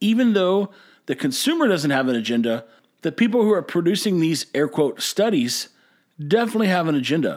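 In a Texan accent, a man speaks at a high pitch with very wide pitch swings and an animated tone. His pace is fairly quick, and the recording is very clean with a silent background. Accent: Texan American English. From Texas. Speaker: podcast host and brewery owner. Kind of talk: casual monologue.

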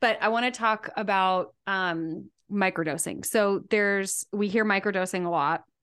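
A woman with an ordinary speaking voice talks at a moderate pace and medium pitch, with fairly even intonation. Her loudness stays very even against a quiet background. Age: 40s. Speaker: podcast host and business coach. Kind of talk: interview conversation.

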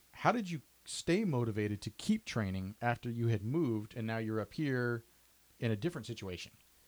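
In a plain, everyday voice, a man of medium pitch talks at a fairly quick pace with ordinary pitch variation and a dry, close sound with no echo. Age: 30s. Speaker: podcast host. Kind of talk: interview.

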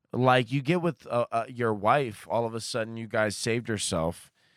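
On a very clean recording against a silent background, a man with a plain, everyday voice talks at a moderate pace, medium in pitch with ordinary pitch variation. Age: 30s. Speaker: comedian. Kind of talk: casual chat.

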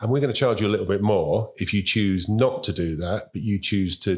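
Speech in a London accent at a fairly quick pace. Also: man. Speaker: transport industry chief executive. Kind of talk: interview. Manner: halting.

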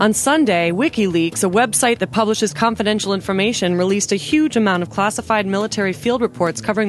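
Very fast speech with lively intonation plays over noticeable background noise. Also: woman. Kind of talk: news reading.

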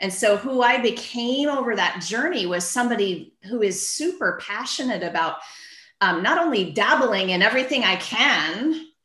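There is audible room echo as a woman speaks at a moderate pace in a fairly high voice with very wide pitch swings. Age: 50s. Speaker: physical therapist turned book publisher. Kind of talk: casual interview chat.

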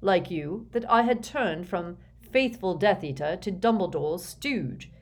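A natural voice is used to read aloud. Its intonation is lively.

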